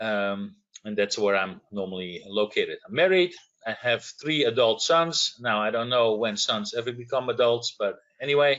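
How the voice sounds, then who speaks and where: A man with a Dutch accent speaks with lively intonation. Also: medium pitch for a man, moderate pace. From Netherlands. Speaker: industry manager, electrical engineer. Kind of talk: webinar self-introduction.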